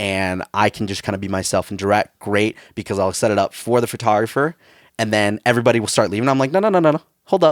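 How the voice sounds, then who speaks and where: A very fast man's voice, fairly low, with ordinary pitch variation, dry and close with no echo, on a very clean recording with a silent background. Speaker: wedding videographer. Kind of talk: casual chat. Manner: loud.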